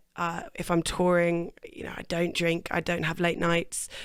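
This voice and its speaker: A woman with an English accent at a moderate pace. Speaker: singer. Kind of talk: interview.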